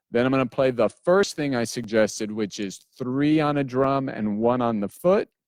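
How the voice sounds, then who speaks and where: A man at a moderate pace and medium pitch, with ordinary pitch variation, a normal speaking voice, and a dry, close sound with no echo. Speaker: drum teacher. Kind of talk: tutorial. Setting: livestream.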